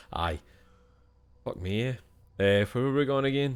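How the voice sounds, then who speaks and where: Recorded very cleanly against a silent background, a man with a Scottish accent talks with ordinary pitch variation. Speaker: gaming streamer. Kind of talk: let's play commentary. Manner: animated.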